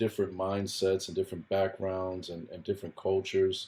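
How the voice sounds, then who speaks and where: This is a man speaking. His pitch sits fairly low. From Southwest Florida, born Puerto Rico. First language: Spanish. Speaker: real estate investor, military retiree. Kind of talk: podcast interview.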